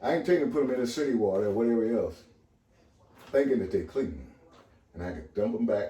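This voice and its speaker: A man talks at a very fast pace, broken by long, frequent pauses. Room echo is audible around his voice. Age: 70s. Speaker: water purifier user and seller. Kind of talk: casual chat.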